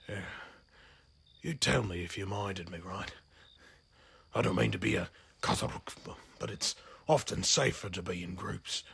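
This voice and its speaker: A man puts on a raspy character voice with a very deep, low pitch. He moves at a moderate pace with long, frequent pauses. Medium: solo performance. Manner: rambling, hesitant, folksy.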